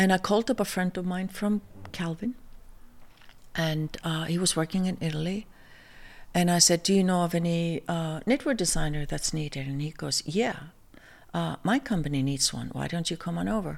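Woman with an Icelandic accent, fairly low pitch, ordinary pitch variation and long, frequent pauses, in a very clean recording with a silent background. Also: moderate pace. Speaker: fashion designer. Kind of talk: casual chat. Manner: halting.

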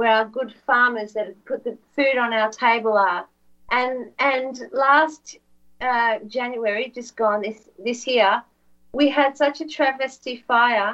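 A woman's high, bright, sharp voice in an Australian accent, very slow and fairly even in intonation. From Australia, Victoria. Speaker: alternative media broadcaster, former journalist. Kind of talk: interview guest, political commentary. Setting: remote video/audio call.

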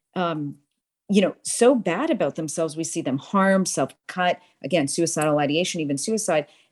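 Over a silent background in a very clean recording, a woman speaks at a moderate pace with lively intonation and a dry, close sound with no echo. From US Northeast, Boston, immigrant parents. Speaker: nonprofit crime-prevention executive and author. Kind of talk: interview.

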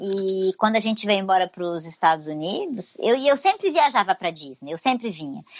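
A woman speaks in an ordinary speaking voice at medium pitch, with lively intonation, a fairly quick pace and hardly any pauses. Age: 40s. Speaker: travel agent and tour guide. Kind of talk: casual interview.

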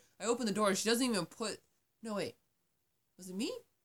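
This is a woman speaking. Her voice carries vocal fry. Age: 20s. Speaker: podcast host. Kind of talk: casual chat. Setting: sister's bedroom at family home. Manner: animated, laughing often.

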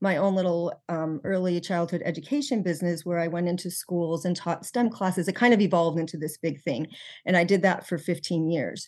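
A woman with an unremarkable speaking voice talks at a fairly quick pace with a fairly low pitch. Her intonation is fairly even against a quiet background. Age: 50s. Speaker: nutrition health coach. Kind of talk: interview.

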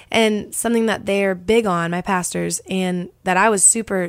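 A woman with an American accent talks at a moderate pace in a medium pitch, with fairly even intonation and an unremarkable speaking voice. The recording is very clean, with a silent background. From Texas, Dallas. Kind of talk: casual interview, faith testimony.

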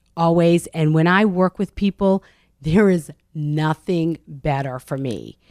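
On a very clean recording with a silent background and a dry, close sound with no echo, a woman with an American accent speaks at a fairly slow pace, her very deep, low pitch showing ordinary variation. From Medford, Massachusetts. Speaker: intuitive coach and author. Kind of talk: casual interview.

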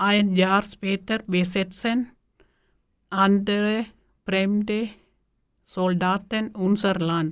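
A woman with a Tamil accent speaks very slowly in a monotone, flat way, leaving long, frequent pauses. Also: medium pitch for a woman. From Sri Lanka. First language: Tamil (speaking German). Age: 40s. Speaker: bakery worker, language learner. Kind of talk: reading aloud.

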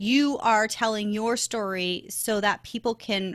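A bright, sharp tone at a fairly slow pace with fairly even intonation and a slight Canadian accent, on a very clean recording with a silent background. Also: woman, dry, close sound with no echo. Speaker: podcast guesting expert. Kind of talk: interview. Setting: podcast recording.

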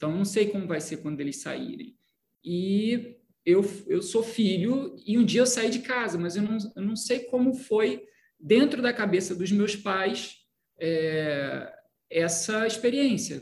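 At a very slow pace, a man talks in a high pitch with lively intonation. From Brazil, Petrópolis, Rio de Janeiro state. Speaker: film director. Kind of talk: interview.

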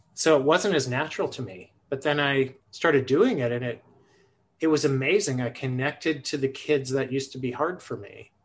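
A man speaks in a plain, everyday voice at a moderate pace. His pitch is fairly high, with ordinary pitch variation. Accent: American. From Buffalo, New York. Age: 50s. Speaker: early childhood educator and author. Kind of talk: casual interview conversation. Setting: video call.

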